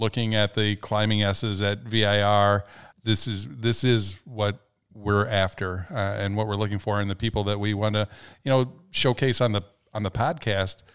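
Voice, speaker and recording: On a very clean recording with a silent background, an unremarkable speaking voice moves at a moderate pace with fairly even intonation. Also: man, fairly low pitch for a man. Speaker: podcast co-host. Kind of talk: casual podcast conversation.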